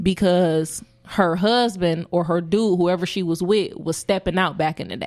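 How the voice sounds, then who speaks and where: A woman speaks with an American accent and a fairly even intonation. Music plays in the background. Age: 30s. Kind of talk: casual chat.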